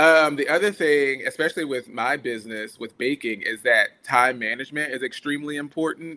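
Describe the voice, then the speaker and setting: The voice has a bright, sharp tone and an American accent, moving at a fairly quick pace with hardly any pauses. Pitch varies in an ordinary way on a very clean recording with a silent background. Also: man, fairly high pitch for a man. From US South, coastal Georgia (Brunswick). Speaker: scientist and baker. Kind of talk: casual chat.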